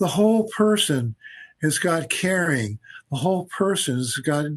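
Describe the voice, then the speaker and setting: The man's voice is somewhat breathy. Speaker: physician and researcher. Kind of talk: interview conversation. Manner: halting, repetitive.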